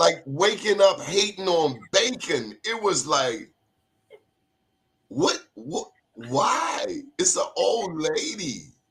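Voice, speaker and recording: The speaker talks very slowly in a Baltimore accent, with long, frequent pauses. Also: man. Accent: Baltimore accent, noted by self. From Baltimore, US. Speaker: awards show interviewer. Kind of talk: casual interview chat. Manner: animated.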